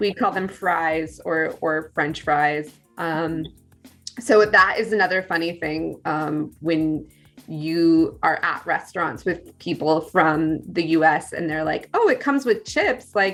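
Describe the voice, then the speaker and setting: Over music in the background, a woman with a General American accent and a fairly low pitch speaks at a very slow pace. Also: ordinary pitch variation. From California. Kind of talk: casual conversation on a video call.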